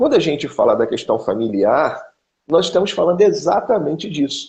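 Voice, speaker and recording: A man speaks at a moderate pace in a Carioca accent. His loudness stays very even. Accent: carioca Brazilian Portuguese. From Rio de Janeiro, Brazil. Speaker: pastor. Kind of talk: interview on family teaching.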